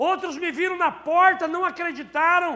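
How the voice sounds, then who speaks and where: A man's raised, projected voice, animated, bright and sharp in tone, at a fairly slow pace with audible room echo. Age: 50s. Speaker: pastor. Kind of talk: sermon. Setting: church.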